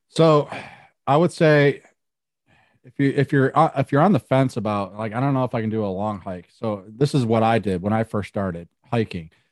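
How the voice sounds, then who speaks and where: A man with a medium pitch talks at a fairly quick pace with ordinary pitch variation. It is a plain, everyday voice, recorded dry and close with no echo against a quiet background. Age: 40s. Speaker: hiker and YouTuber. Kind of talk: interview.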